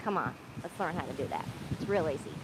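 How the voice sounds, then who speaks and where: A woman talking at a fairly quick pace. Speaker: yoga instructor. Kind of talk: guided yoga class. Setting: outdoors on beach. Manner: loud, projecting.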